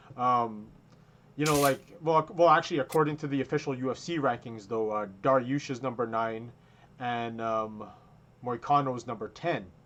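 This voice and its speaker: Against a quiet background, a man speaks in a plain, everyday voice at medium pitch and moderate pace, with ordinary pitch variation. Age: 30s. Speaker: combat sports podcast co-host. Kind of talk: casual chat. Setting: video call.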